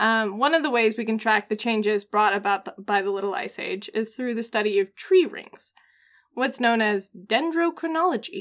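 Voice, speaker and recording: A woman with an American accent has an ordinary speaking voice, fairly high in pitch, at a moderate pace. Her intonation is lively, and the recording is very clean with a silent background. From US Pacific Northwest. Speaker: podcast co-host. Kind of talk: casual chat.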